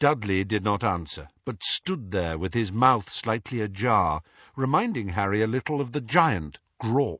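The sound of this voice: The delivery is an unforced reading voice with lively intonation. Behind it the background is quiet.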